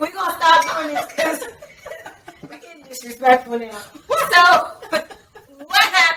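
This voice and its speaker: The speaker uses a raised, projected voice in a DC accent. Delivery is at a moderate pace with lively intonation. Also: woman. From Washington DC area. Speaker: podcast host. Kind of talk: casual chat.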